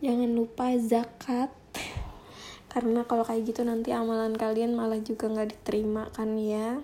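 A woman speaks at fairly high pitch with a dark, mellow tone. Her pace is moderate and her intonation monotone and flat. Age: 20s. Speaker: podcast host. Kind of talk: personal monologue. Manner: halting.

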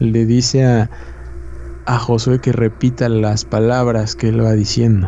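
With a Mexican accent, a man of medium pitch speaks at a fairly slow pace in a monotone, flat intonation and very even loudness, over noticeable background noise. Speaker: podcast co-host. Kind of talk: casual chat. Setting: live stream.

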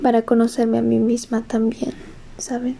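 Speaking rather slowly, a woman uses a fairly high pitch. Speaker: podcaster. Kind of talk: casual monologue. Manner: halting.

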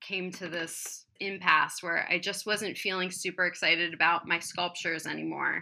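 A woman with an American accent speaks at a moderate pace in a plain, everyday voice. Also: very clean recording, silent background. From US Midwest, Columbus, Ohio. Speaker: candle artist and sculptor. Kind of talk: casual chat.

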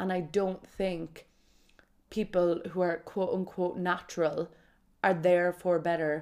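A woman talks with a Kerry accent in an animated tone. Her pitch sits fairly low. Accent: Irish (Kerry). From Ireland, County Kerry. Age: 20s. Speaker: podcast host. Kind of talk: casual solo monologue.

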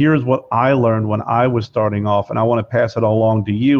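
He has a plain, everyday voice at a medium pitch. This man talks at a fairly quick pace with fairly even intonation. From Pennsylvania, Lebanon-Lancaster area. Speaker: cigar brand owner and podcast host. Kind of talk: casual interview chat.

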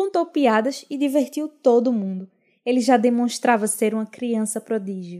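In a very clean recording with a silent background, a woman speaks at a moderate pace in a high pitch, her tone dark and mellow and her intonation lively. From Pernambuco agreste, Brazil. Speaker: podcast host. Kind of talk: scripted narration.

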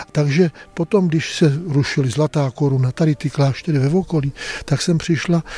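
A man speaks at a moderate pace with a fairly high pitch and ordinary pitch variation. His somewhat breathy voice has a dark, mellow tone in a dry, close sound with no echo. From northern Bohemia (Kadaň). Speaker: monastery prior, monk. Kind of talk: interview. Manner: halting, conversational.

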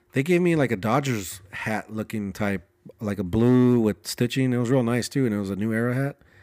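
An ordinary speaking voice from a man, medium pitch, ordinary pitch variation, on a very clean recording with a silent background. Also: fairly quick pace. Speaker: podcast co-host, film set worker. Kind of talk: casual comedic chat. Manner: playful, jokey.

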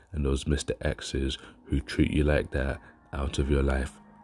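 Flat, monotone delivery over background music. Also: man. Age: 30s. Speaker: vlogger. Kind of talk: casual vlog monologue.

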